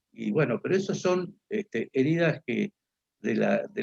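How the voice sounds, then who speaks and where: The sound is dry and close with no echo as a man talks at a moderate pace. His voice shows vocal fry and very wide pitch swings. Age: 60s. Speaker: political speaker. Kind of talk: lecture. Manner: halting, many fillers.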